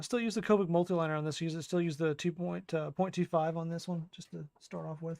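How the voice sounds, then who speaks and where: Very fast and high-pitched, a man talks in a dry, close sound with no echo. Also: fairly even intonation, hardly any pauses, big swings in loudness. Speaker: artist live streamer. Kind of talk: casual live stream chat while drawing.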